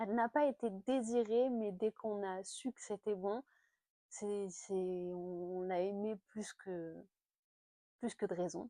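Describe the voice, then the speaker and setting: In a dry, close sound with no echo, a woman with a dark, mellow tone speaks at a very slow pace with long, frequent pauses and ordinary pitch variation. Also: medium pitch for a woman, quiet background. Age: 30s. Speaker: lifestyle vlogger. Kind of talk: casual chat. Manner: hesitant, many fillers.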